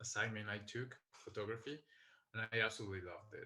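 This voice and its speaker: This man has a fairly low pitch and a bright, sharp tone, speaking with a Colombian accent. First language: Spanish. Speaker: skydiving videographer. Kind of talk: interview. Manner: calm.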